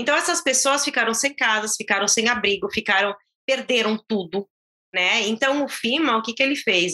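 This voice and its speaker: At a moderate pace, a woman speaks with lively intonation and a bright, sharp tone, her pitch fairly high. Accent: São Paulo. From Brazil, São Paulo (São Caetano do Sul). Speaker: Brazilian immigrant, mother. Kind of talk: casual interview.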